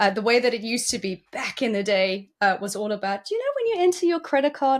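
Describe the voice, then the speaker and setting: A woman with a South African accent, high-pitched and fairly quick, on a very clean recording with a silent background. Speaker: cybersecurity executive. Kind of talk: interview.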